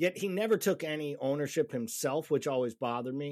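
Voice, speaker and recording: On a very clean recording with a silent background, a man speaks in a normal speaking voice with an American accent. He talks at a fairly quick pace and fairly high pitch. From Massachusetts, US. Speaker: soccer podcast host. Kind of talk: casual chat.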